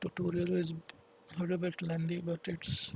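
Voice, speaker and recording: A man's high pitch with monotone, flat intonation at a moderate pace. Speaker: 3D software tutorial maker. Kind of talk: tutorial. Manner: halting.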